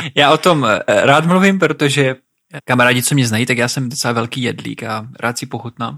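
A man's bright, sharp voice at a fairly quick pace, with ordinary pitch variation. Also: medium pitch for a man. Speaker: podcast co-host, adventurer. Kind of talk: casual chat.

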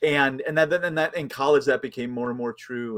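In an American accent, a man talks at a fairly quick pace and a fairly high pitch, with lively intonation and an unremarkable speaking voice. The recording is very clean, its background silent. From US Midwest, Chicago suburbs. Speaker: theology professor. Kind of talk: casual interview.

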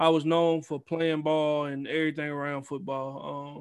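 In a Southern US accent, a man talks with a fairly high pitch and monotone, flat intonation on a very clean recording with a silent background. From US South, Mississippi Gulf Coast. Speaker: esports team coach and league owner. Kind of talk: casual chat.

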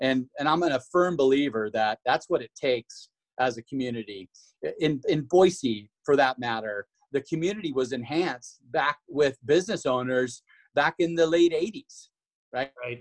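At a moderate pace, a man with an American accent uses an ordinary speaking voice, fairly high in pitch with ordinary pitch variation, in a dry, close sound with no echo. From Washington. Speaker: chamber of commerce marketing staff. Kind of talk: casual interview.

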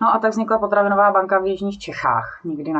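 Amid noticeable background noise, a woman speaks in a very deep, low pitch. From South Bohemia, Czechia. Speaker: nonprofit director. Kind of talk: interview.

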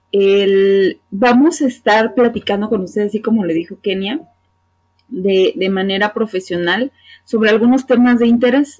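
A woman with a normal speaking voice talks at a fairly slow pace, her fairly high pitch showing ordinary pitch variation. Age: 30s. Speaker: psychologist and podcast co-host. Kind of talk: casual chat.

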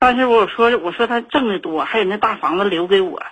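A woman talks with ordinary pitch variation. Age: 40s. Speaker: caller. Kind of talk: phone-in personal story. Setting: phone call. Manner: halting, many fillers.

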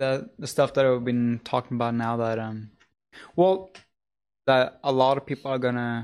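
Speaking with a Norwegian accent and fairly even intonation, a man shows big swings in loudness and takes long, frequent pauses. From Norway. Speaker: livestream co-host. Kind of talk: casual livestream chat.

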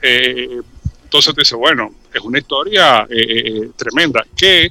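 A man has an ordinary speaking voice. He talks at a fairly slow pace with ordinary pitch variation. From Dominican Republic. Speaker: cultural commentator. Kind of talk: radio interview.

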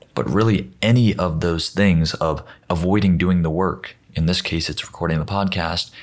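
A man at a moderate pace, very deep and low in pitch, with ordinary pitch variation. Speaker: podcast host. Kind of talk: solo monologue.

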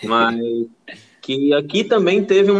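A man's bright, sharp tone with lively intonation. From Brazilian Northeast. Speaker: podcast host. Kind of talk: casual chat.

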